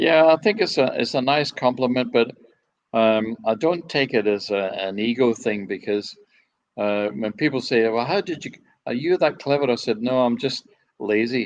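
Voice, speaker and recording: A man speaks at a medium pitch with a Scottish accent. His pitch varies in an ordinary way, at a moderate pace. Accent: Scottish, kept. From Scotland, Dumbarton area on the Clyde. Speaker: ferry designer. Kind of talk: interview.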